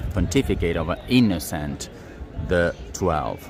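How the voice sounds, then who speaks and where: Music plays in the background as a man talks in an Italian accent. His intonation is lively. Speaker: tour guide. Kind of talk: live-streamed walking tour. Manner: hesitant, many fillers.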